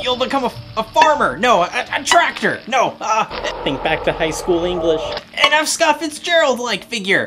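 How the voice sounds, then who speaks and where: A put-on character voice comes at a fairly high pitch and a moderate pace. Background noise is clearly audible. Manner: flustered, blurting.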